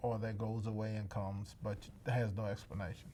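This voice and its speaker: A man talks at a medium pitch. The room echo is audible. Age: 70s. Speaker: cancer survivor. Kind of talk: interview testimony. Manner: halting.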